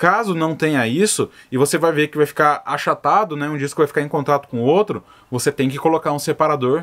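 Against a quiet background, a man speaks at a fairly quick pace with a fairly high pitch and ordinary pitch variation. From Brazil. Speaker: stingless beekeeper and video creator. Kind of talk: tutorial answering viewer questions. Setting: outdoors at the apiary. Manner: casual, conversational.

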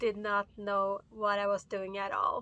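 A woman speaks in a bright, sharp tone. The sound is dry with no echo. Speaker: solo sailor vlogger. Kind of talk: casual vlog chat. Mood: a bit annoyed, reflective. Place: boat. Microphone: phone near.

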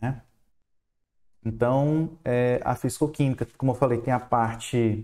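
Against a quiet background, a man with a Ceará accent speaks in a dark, mellow tone. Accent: Ceará northeastern. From Fortaleza, Ceará, Brazilian Northeast; Ceará, Brazil. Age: 30s. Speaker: university chemistry professor. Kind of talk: online lecture. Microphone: headset.

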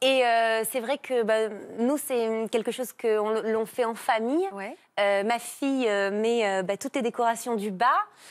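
Fairly high female voice at a very slow pace, ordinary pitch variation, and a quiet background. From Marseille, southern France. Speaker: TV personality. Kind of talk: casual TV chat. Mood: warm, nostalgic. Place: studio.

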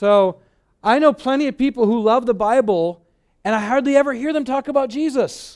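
An American-accented man talks at a fairly quick pace and an extremely high pitch, with ordinary pitch variation against a quiet background. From Michigan, US. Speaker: pastor. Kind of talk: sermon. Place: hall. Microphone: headset.

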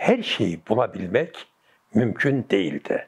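Very slow speech from a man, quiet background behind it. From Gaziantep, Turkey. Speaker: retired architect, former city planning director. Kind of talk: oral history interview answer. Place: home room.

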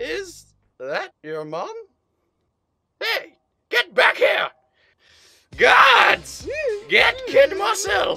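The voice is extremely high-pitched and moves at a very slow pace, broken by long, frequent pauses. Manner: gruff, impatient.

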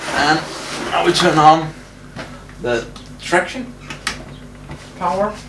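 A man at a very slow pace with long, frequent pauses over noticeable background noise. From Denmark. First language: Danish. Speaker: hobbyist car builder. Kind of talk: tutorial. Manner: casual, hesitant with fillers.

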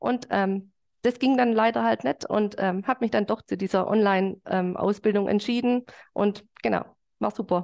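At a moderate pace, a woman speaks with very even loudness and ordinary pitch variation against a quiet background. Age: 40s. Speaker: fitness trainer. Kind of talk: interview. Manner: hesitant with many fillers. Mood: cheerful, smiling. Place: home room. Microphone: video call.

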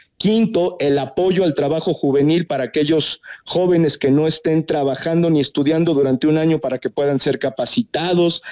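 A man speaks at a moderate pace with very even loudness, a dark, mellow tone, and a dry, close sound with no echo. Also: fairly high pitch for a man, ordinary pitch variation. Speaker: senator. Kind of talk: radio interview.

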